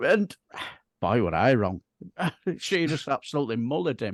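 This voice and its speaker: With a West Yorkshire accent, the speaker uses lively intonation in a dry, close sound with no echo. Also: man, quiet background. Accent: broad Bradford. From northern England, Bradford. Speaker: political chat show co-host. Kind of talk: casual political chat.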